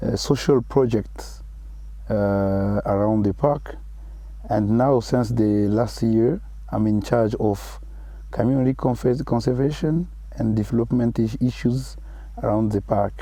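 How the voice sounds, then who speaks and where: Speaking with a French accent, a man goes at a fairly slow pace with long, frequent pauses and very even loudness. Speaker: conservation project manager. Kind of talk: interview. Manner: halting.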